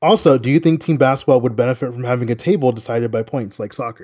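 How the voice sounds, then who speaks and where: He has an ordinary speaking voice at a medium pitch, with ordinary pitch variation. This man talks at a moderate pace. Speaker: basketball podcast co-host. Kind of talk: casual chat.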